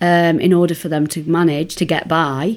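A woman with an East Midlands accent, in a very clean recording with a silent background. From Nottingham, England. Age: 50s. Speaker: academic and activist. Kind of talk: interview.

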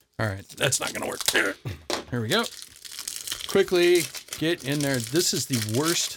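Over noticeable background noise, a man with a fairly high pitch speaks at a fairly slow pace, his voice swinging very widely in pitch between long, frequent pauses. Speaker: puzzle hobbyist YouTuber. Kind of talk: casual chat. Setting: on-camera video recording.

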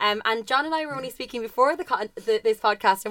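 This woman talks at a very fast pace with ordinary pitch variation. The sound is dry and close, with no echo. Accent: Irish. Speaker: podcast co-host. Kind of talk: interview conversation.

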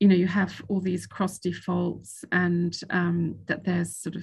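With a British accent, a woman speaks at medium pitch and a fairly slow pace. Vocal fry runs through her voice. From Italy and Switzerland. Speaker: sovereign debt lawyer. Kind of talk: interview. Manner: hesitant, many fillers.

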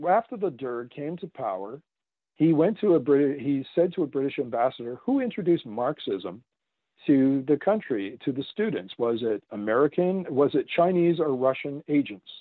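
With a Canadian accent, a man speaks at a moderate pace and a fairly high pitch, his pitch swinging very widely. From Canada. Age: 50s. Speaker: author. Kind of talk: interview.

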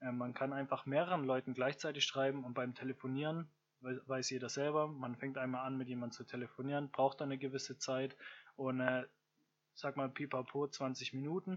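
Monotone, flat intonation from a man at medium pitch and a moderate pace. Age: 20s. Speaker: podcaster. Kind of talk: solo monologue podcast. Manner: hesitant, many fillers.

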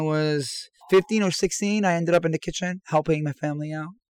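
With an American accent, this speaker has a plain, everyday voice, fairly even intonation and a moderate pace, recorded dry and close with no echo. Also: man. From Iran, came to the US as a teen. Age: 40s. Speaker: chef. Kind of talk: casual interview. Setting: remote from an RV park.

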